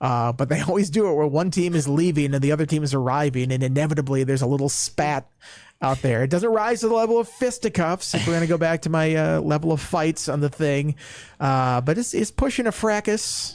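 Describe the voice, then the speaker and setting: A man with a Minnesota accent, fairly high in pitch, with lively intonation at a fairly quick pace, on a very clean recording with a silent background. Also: very even loudness. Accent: Minnesota accent, shows on long O. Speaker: sports podcast host. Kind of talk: casual chat.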